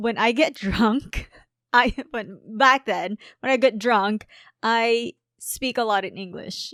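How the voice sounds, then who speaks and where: A woman with a Filipino accent at a very slow pace, fairly high in pitch with ordinary pitch variation and big swings in loudness, in a very clean, dry, close recording with a silent background and no echo. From Philippines. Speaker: podcast co-host and reaction youtuber. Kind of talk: casual chat. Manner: halting, many fillers.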